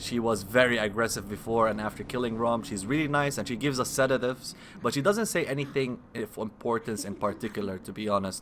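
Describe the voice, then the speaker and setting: A man with a non-native accent at medium pitch, very fast, hardly any pauses, ordinary pitch variation. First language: not English. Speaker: gaming video creator. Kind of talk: gameplay commentary. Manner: halting, self-correcting.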